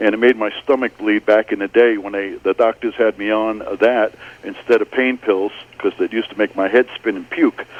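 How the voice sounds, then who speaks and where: The man's medium-pitched voice stays monotone and flat. He speaks at a moderate pace over noticeable background noise. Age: 60s. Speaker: caller. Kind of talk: call-in comment. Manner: halting.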